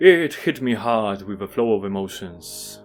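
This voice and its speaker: Over music in the background, a man with a Polish accent talks fairly slowly at a medium pitch. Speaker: video game reviewer. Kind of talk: scripted narration.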